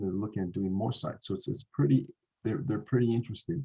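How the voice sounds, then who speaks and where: A man's somewhat breathy voice, dark and mellow in tone, with a slight North American accent. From Canada. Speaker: tech company presenter. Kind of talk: online Q&A interview. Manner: halting, many repetitions.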